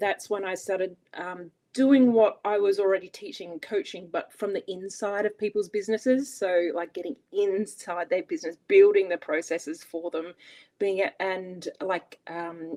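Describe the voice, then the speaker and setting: Woman with an Australian accent, dark and mellow, at a medium pitch and moderate pace, ordinary pitch variation and big swings in loudness, dry and close with no echo in a quiet background. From Australia, Adelaide. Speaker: business operations coach. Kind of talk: interview.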